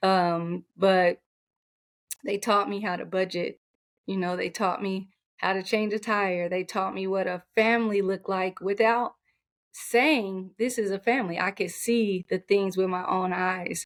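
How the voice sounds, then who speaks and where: A soft-spoken woman with an American accent talks at a fairly slow pace, her medium pitch held in fairly even intonation. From Oklahoma. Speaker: basketball and track coach. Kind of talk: interview.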